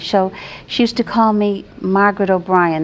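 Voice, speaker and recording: With an American accent, a speaker talks at a moderate pace in a plain, everyday voice. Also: woman. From New England, New Bedford, Massachusetts. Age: 60s. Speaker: retired teacher, guest. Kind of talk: interview, personal life story.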